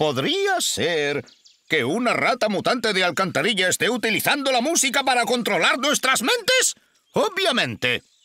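A man's put-on character voice, high-pitched and bright and sharp in tone, with very wide pitch swings at a moderate pace.

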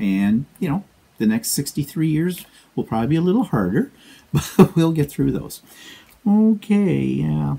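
A dark, mellow, somewhat breathy voice with a Canadian accent, a fairly slow pace, long, frequent pauses and very wide pitch swings. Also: man, fairly high pitch for a man. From Canada. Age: 60s. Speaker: quilting vlogger. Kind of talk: casual vlog monologue. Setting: home studio. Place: home room. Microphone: lapel.

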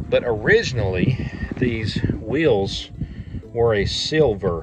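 The sound is dry with no echo as a man speaks. Clear music runs in the background. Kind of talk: casual vlog chat. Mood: proud, fond storytelling. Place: open country. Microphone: phone near.

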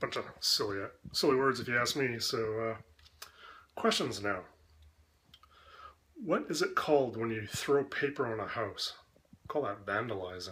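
Light background noise sits behind a man with a Canadian accent and a bright, sharp tone, pitched at medium with ordinary pitch variation. He talks at a fairly slow pace, leaving long, frequent pauses. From Canada. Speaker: video creator doing an accent tag. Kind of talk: comedic accent tag answers. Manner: joking, playful. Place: kitchen. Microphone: webcam.

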